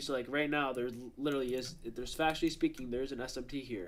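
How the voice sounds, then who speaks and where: A man talks very fast in a fairly high pitch for a man, his intonation fairly even. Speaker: day trader streaming live. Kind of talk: live trading stream with chat. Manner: casual, filler-heavy; a little quiet at first. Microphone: mic was a bit far away.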